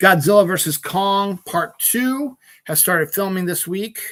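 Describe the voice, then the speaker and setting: The man's voice has a bright, sharp tone and a dry, close sound with no echo. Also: very clean recording, silent background. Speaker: podcast host. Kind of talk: casual entertainment news chat.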